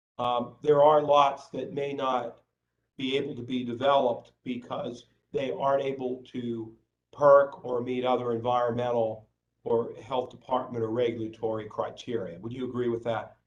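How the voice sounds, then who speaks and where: A loud man's voice at a moderate pace, medium in pitch. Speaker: lawyer. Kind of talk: cross-examination at hearing. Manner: halting.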